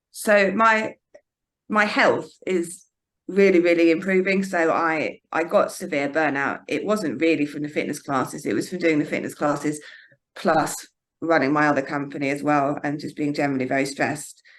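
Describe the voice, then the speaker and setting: This woman has a very deep, low pitch and ordinary pitch variation. She speaks at a moderate pace against a quiet background. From eastern England, Norfolk. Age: 40s. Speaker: fitness instructor. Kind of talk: interview. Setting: yoga studio. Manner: halting.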